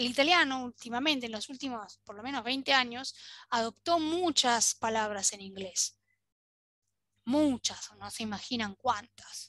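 A woman's high-pitched, fairly slow speech with lively intonation and big swings in loudness, dry with no echo, over a quiet background. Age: 40s. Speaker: Italian language teacher. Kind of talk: online language lesson. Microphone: webcam.

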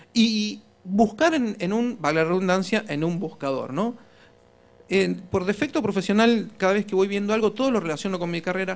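Speaking with an Argentine accent, a man uses a high pitch, ordinary pitch variation and a moderate pace. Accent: Argentine Spanish (voseo). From Argentina. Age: 40s. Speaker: political communication consultant; conference speaker. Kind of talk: conference talk. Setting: stage with audience. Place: hall.

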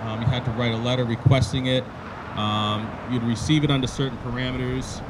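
Noticeable background noise is present. Over it, a man talks at a fairly quick pace. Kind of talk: ceremony speech. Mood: solemn, respectful. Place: street. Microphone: handheld.

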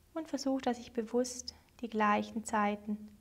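A woman speaks with a soothing, gentle tone at a fairly slow pace, her fairly high pitch moving with ordinary variation. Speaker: meditation teacher. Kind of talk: guided meditation, calm spoken instructions. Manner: slow, soothing, gentle; paced with long pauses, measured.

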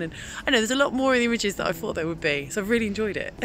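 A woman speaks with ordinary pitch variation in a dry sound with no echo, faint music playing in the background. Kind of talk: casual vlog chat. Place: street. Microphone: phone near.

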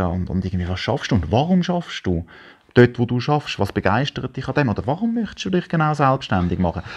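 With a Swiss accent, a man speaks at a very fast pace and with lively intonation. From German-speaking Switzerland. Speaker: photographer; interview guest. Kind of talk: casual chat. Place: home room. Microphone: lapel.

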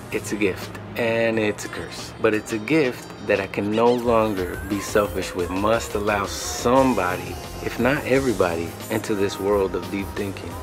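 Over clear background music, a man speaks at a moderate pace with fairly low pitch and ordinary pitch variation. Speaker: video host. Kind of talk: casual vlog chat. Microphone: webcam.

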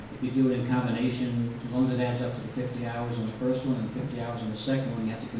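The speech comes very fast, with strong echo from the room. Noticeable background noise sits underneath. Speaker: judge. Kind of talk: court proceeding. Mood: calm, measured, authoritative. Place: hall. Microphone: camera far.

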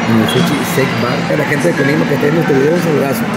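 A man speaks at a fairly quick pace. Music plays in the background. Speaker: vlogger. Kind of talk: casual vlog chat.

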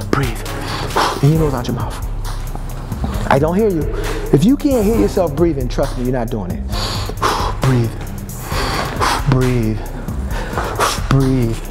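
Loud music plays in the background as a man speaks. He goes at a fairly slow pace with long, frequent pauses. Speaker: fitness trainer. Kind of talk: workout coaching cues. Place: gym.

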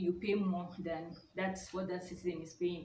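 Light noise in the background and audible echo from the room surround a woman as she talks. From Nigeria. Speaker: YouTuber. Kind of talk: casual vlog talk. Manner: hesitant, many fillers. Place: home room. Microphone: phone near.

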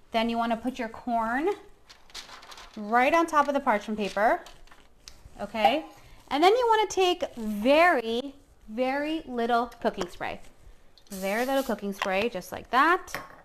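With light background noise, a woman speaks fairly slowly in a high voice, pausing long and often. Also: lively intonation. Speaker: chef host. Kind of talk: cooking tutorial. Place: kitchen. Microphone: camera far.

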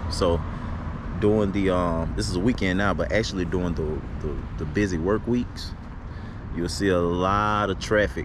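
Against noticeable background noise, a man with a very deep, low pitch speaks at a moderate pace in a dry sound with no echo. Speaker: vlogger. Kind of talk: casual vlog chat. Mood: relaxed, calm. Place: street. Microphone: phone near.

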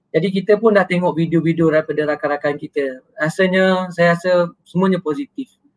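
A fairly quick pace with hardly any pauses and ordinary pitch variation. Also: man, high pitch for a man. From Malaysia. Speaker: moderator. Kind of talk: moderated discussion. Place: home room. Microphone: webcam.

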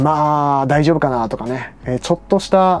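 Here a man is speaking. His pitch is fairly high. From Hokkaido, Kushiro; Hokkaido, Japan. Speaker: travel vlogger. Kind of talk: casual vlog monologue. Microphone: lapel.

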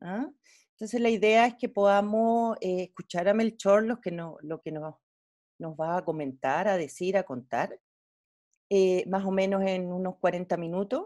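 A woman with a dark, mellow tone talks at a fairly slow pace over a quiet background. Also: medium pitch for a woman, ordinary pitch variation. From Chile. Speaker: physician and medical educator, webinar host; medical educator, webinar host. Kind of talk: webinar moderation. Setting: video call. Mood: warm, grateful. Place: home room. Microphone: earbuds.

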